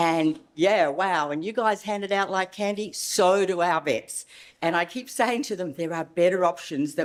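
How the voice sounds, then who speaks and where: This is a woman speaking. She has an Australian accent. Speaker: veterinary behavioural specialist. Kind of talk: conference lecture.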